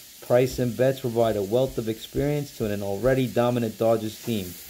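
Someone speaks at a fairly quick pace over light background noise. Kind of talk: casual hobby showcase chat. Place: kitchen. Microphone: phone near.

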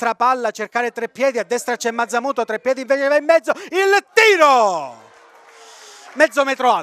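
A man speaks at a moderate pace with an extremely high pitch. Long pauses come often. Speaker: football commentator. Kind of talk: live football match commentary, reading play-by-play over highlights. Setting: voiceover on match highlights video.

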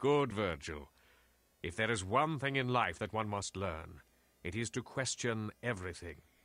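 In a put-on character voice, a man speaks slowly at a fairly low pitch with a bright, sharp tone, lively intonation, and long, frequent pauses.

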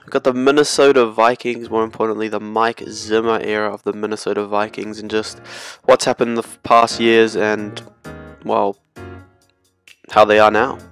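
Over background music, a man speaks in a monotone, flat voice with long, frequent pauses, the sound dry and close with no echo. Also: medium pitch for a man, moderate pace. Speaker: sports video creator. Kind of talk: sports retrospective commentary. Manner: casual.

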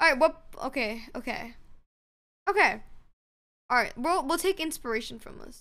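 Projecting her raised voice at a high pitch, a woman sounds bright and sharp, with big swings in loudness and long, frequent pauses. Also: lively intonation, moderate pace. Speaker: gamer on stream. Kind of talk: casual gaming chat. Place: home room.

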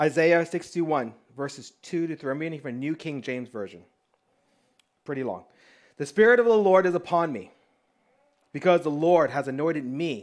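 At a moderate pace, the speaker uses lively intonation and big swings in loudness, with long, frequent pauses against a quiet background. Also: man, fairly high pitch for a man. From Texas. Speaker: pastor. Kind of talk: sermon. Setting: church. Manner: casual, conversational. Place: home room.

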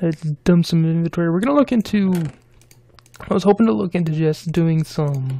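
A woman with a fairly low pitch talks at a fairly quick pace, with lively intonation and long, frequent pauses. Background noise is noticeable. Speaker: gaming YouTuber. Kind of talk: let's play commentary. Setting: home recording setup. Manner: casual, rambling.

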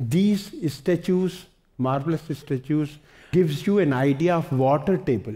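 A man's fairly high, somewhat breathy voice with a dark, mellow tone and an Indian accent, at a fairly slow pace. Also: ordinary pitch variation. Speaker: environmentalist. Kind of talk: lecture. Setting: stage with audience.

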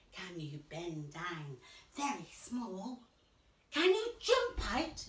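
A woman speaks at a very slow pace in a room with audible echo. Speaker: preschool gymnastics coach. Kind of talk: children's activity instruction. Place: home room. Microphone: camera far.

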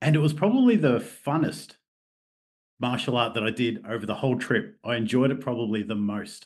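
A man with an Australian accent at a medium pitch, fairly quick pace, in a quiet background. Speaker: martial artist and mental health therapist. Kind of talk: casual interview.

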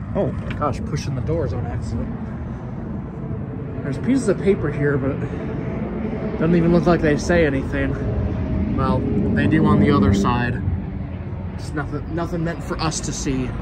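A man at a moderate pace with long, frequent pauses, amid loud background noise. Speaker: urban explorer vlogger. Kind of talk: casual vlog commentary. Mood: nostalgic, reflective. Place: street. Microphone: phone near.

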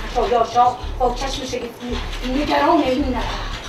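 Amid noticeable background noise, a woman uses a raised, projected voice and a dramatic tone at a very slow pace. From Iran. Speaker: traditional Iranian storyteller. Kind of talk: live solo theatrical storytelling performance. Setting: live stage. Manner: dramatic, declamatory.

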